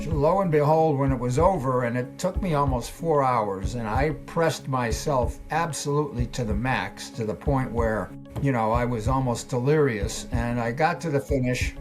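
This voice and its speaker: With music in the background, a man with a medium pitch talks at a moderate pace with hardly any pauses and ordinary pitch variation. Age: 80s+. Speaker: former pro cyclist and coach. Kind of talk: interview answer.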